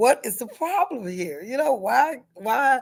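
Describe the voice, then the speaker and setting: A woman speaks with a Southern US accent. Her pitch swings very widely. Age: 60s. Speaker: vlogger. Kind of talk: casual monologue. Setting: at school.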